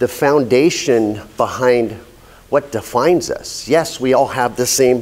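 With ordinary pitch variation, this man delivers his words at a fairly slow pace. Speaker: speaker. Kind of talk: prepared speech. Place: meeting room.

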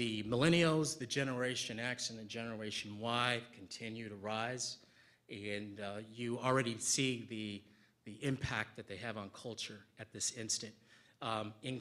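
A bright, sharp tone with fairly even intonation at a fairly slow pace. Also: man. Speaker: conference speaker. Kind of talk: conference Q&A. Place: hall.

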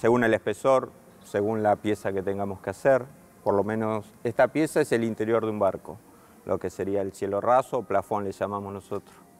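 The delivery is fairly quick with fairly even intonation. It is a plain, everyday voice. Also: man, fairly low pitch for a man. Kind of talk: interview answer. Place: workshop.

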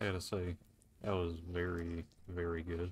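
A quiet, somewhat breathy man's voice with a very deep, low pitch. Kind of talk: casual gaming commentary.

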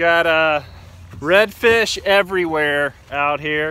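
Speaking slowly, a man with a fairly high pitch and a bright, sharp tone shows ordinary pitch variation.

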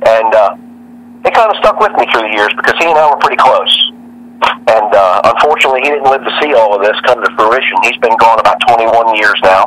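A man talks at a fairly quick pace with an American accent. Noticeable background noise runs underneath. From Northern Virginia (Arlington, DC area). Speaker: drag racing driver. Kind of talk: interview.

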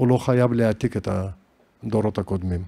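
A man with a Caucasus accent speaks in a dark, mellow tone. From Dagestan, Derbent (Caucasus). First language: Juhuri (speaking Hebrew). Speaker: composer and musicologist. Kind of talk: interview conversation. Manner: halting.

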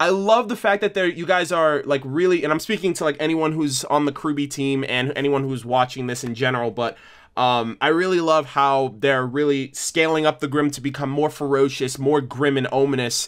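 The background is quiet as a man talks at a moderate pace with hardly any pauses. His pitch variation is ordinary. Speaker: reaction video host. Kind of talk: casual vlog chat. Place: home room. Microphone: webcam.

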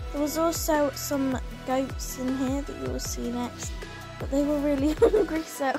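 Music is playing in the background. Over it, a woman speaks at a moderate pace. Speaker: vlogger narrating a farm visit. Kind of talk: casual vlog narration.

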